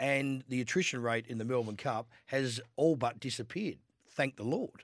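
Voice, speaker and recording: In a very clean recording with a silent background, a man speaks at a medium pitch and moderate pace. He has an Australian accent and ordinary pitch variation. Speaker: horse trainer. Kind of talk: radio sports panel chat.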